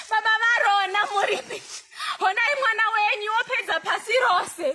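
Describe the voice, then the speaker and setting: A woman's raised, projected voice at an extremely high pitch, with ordinary pitch variation and a moderate pace, over noticeable background noise. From Zimbabwe. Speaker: poet, spoken word artist. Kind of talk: spoken word poetry performance.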